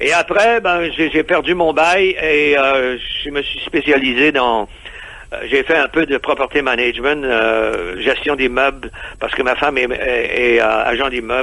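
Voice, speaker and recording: Over noticeable background noise, a man with a fairly high pitch speaks at a very slow pace with ordinary pitch variation and long, frequent pauses. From Quebec. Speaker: expatriate entrepreneur. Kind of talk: radio interview. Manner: halting, many hesitations.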